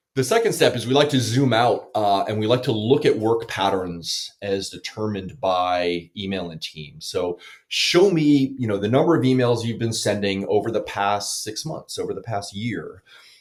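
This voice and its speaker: A man at a moderate pace and medium pitch, with lively intonation and hardly any pauses. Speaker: tech company founder. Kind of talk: interview, product explanation. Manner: loud.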